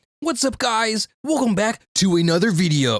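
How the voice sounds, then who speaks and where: This is a put-on character voice at fairly high pitch. The pace is moderate. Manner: fake, exaggerated, cheery.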